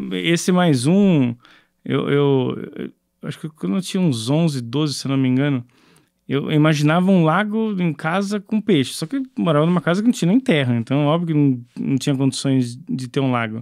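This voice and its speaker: The background is quiet. A man talks with a fairly high pitch. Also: moderate pace. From São Paulo, Brazil (Zona Leste); São Paulo, Brazil. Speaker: startup co-founder; guest. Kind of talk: interview. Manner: halting, repeated words. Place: studio. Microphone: studio mic.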